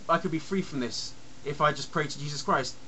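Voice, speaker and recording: The speaker talks at a moderate pace against noticeable background noise. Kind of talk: rant to camera. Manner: stuttering, rambling.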